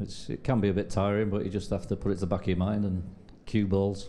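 A very deep, low male voice with a dark, mellow tone, monotone, flat intonation, a very fast pace, and light background noise. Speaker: pool player. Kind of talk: post-match interview. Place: hall. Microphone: handheld.

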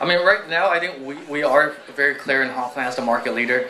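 A man talks very fast with ordinary pitch variation. Light background noise can be heard. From United States (moved from Guangdong at age five). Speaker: startup founder and CEO; guest. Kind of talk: live onstage interview. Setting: stage with audience. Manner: quiet. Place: stage. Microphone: handheld.

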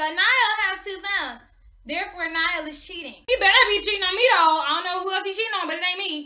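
In a room with audible echo but a quiet background, a woman uses a raised, projected voice with a bright, sharp tone, ordinary pitch variation, and a very fast pace. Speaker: gossip vlogger. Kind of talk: casual vlog chat. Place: home room. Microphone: webcam.

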